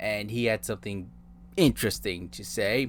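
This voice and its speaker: A man's fairly low voice with vocal fry, ordinary pitch variation and a moderate pace, in a very clean recording with a silent background. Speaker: commentary youtuber. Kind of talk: scripted commentary video narration.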